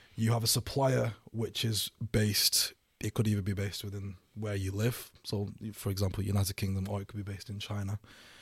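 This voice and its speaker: On a very clean recording with a silent background, a man with a fairly low, somewhat breathy voice speaks at a fairly quick pace in a flat monotone. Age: 20s. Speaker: e-commerce entrepreneur. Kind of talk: casual interview. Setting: studio. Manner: halting.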